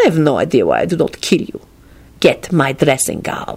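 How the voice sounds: A woman's put-on character voice, low-pitched with very wide pitch swings, a slightly mellow tone, a slightly husky edge and vocal fry. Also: moderate pace.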